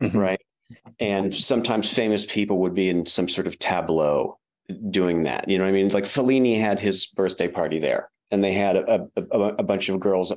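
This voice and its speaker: In an American accent, a man with a fairly low pitch talks at a moderate pace, his intonation fairly even and his loudness very even, against a quiet background. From West Virginia, Wheeling. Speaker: media publisher and filmmaker. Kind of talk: interview conversation. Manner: halting.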